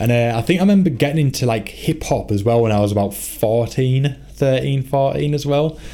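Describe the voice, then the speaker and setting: A man speaking with hardly any pauses and very even loudness, over noticeable background noise. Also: medium pitch for a man, ordinary pitch variation, moderate pace. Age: 20s. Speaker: podcast host and band member. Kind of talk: casual chat.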